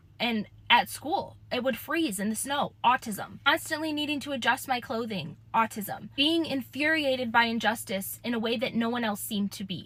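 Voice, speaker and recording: A woman with a bright, sharp tone and vocal fry speaks at a moderate pace with hardly any pauses. Her fairly high pitch moves with lively intonation. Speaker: content creator. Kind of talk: personal vlog monologue. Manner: casual, conversational.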